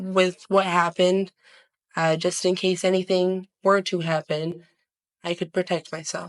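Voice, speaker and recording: The speaker is quiet and talks at a fairly slow pace. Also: woman. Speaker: court witness. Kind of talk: court testimony. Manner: quiet, hard to hear; halting.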